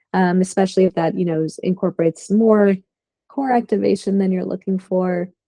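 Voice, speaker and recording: A woman's calm, dark, mellow voice at medium pitch, moderate in pace, with fairly even intonation. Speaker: yoga teacher. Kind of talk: guided yoga class instruction. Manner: calm, soft-spoken.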